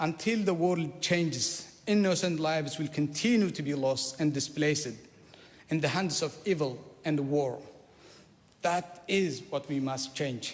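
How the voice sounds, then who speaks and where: A fairly slow man with an Eritrean accent, fairly high pitch and ordinary pitch variation. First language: Saho. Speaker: politician. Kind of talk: parliamentary maiden speech. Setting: parliament chamber. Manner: formal.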